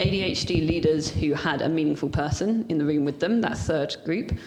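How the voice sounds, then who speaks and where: A woman speaks with a very deep, low pitch and lively intonation. Noticeable background noise can be heard. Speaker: ADHD leadership coach. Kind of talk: casual interview chat. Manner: fast.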